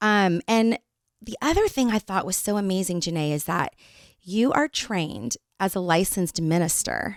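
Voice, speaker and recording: With an American accent, a woman uses a normal speaking voice at a medium pitch and a moderate pace, her intonation lively, in a very clean recording with a silent background and a dry, close sound with no echo. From Northern California. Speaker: podcast co-host. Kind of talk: casual interview chat. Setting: studio.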